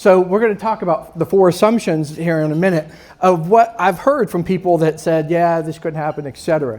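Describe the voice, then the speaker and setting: A high-pitched man's voice with an American accent. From northern US. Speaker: small business owner, sponsor speaker. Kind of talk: live presentation to an audience. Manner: fast; interactive, conversational.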